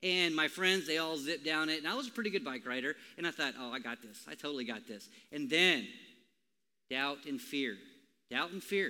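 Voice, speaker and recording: With an American accent and a bright, sharp tone, the speaker talks fairly quickly with lively intonation, broken by long, frequent pauses. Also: man, fairly high pitch for a man. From Minnesota. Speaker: pastor. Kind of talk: sermon. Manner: casual.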